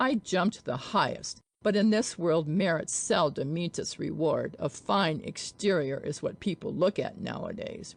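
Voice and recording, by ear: Using a put-on character voice, a woman speaks low-pitched with vocal fry and lively intonation at a fairly slow pace.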